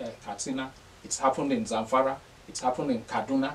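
A man at a fairly quick pace, with ordinary pitch variation and light background noise. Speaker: political analyst, TV studio guest. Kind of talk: interview answer on a political topic. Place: studio.

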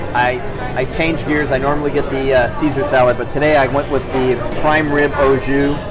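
Clear music plays in the background. The speech moves at a moderate pace. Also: man. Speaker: real estate agent host. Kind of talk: casual vlog chat. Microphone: phone near.

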